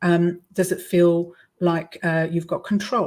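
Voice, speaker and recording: A woman's somewhat breathy voice. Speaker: vocal coach. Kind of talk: online workshop talk. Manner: hesitant, many fillers.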